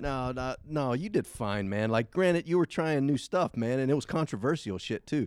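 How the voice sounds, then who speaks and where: A man with an American accent and a normal speaking voice talks at a moderate pace and medium pitch, intonation lively and hardly any pauses, the sound dry and close with no echo. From US South, Savannah, Georgia. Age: 30s. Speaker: magician. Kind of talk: casual chat. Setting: stage with audience.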